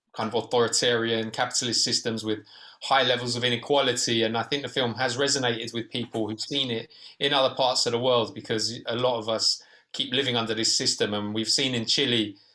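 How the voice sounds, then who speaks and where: With a British accent, a man speaks in a medium pitch and a bright, sharp tone. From Britain. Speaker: documentary filmmaker. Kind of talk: Q&A panel discussion. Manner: hesitant, many fillers.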